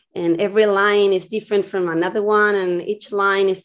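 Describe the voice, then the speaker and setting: Over a quiet background, a woman with a Spanish accent speaks fairly quickly at a medium pitch, her intonation monotone and flat. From Chile, Viña del Mar. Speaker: visual artist. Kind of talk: interview. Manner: halting.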